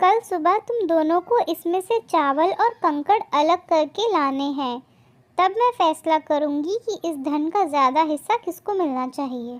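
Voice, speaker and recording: A female-sounding cartoonish character voice speaks at a fairly slow pace with an extremely high pitch. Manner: firm, authoritative.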